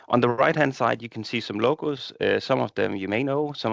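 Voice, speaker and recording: Speaking with a Danish accent and vocal fry, a man uses ordinary pitch variation, recorded dry and close with no echo against a quiet background. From Denmark. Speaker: software partnerships director. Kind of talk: webinar presentation.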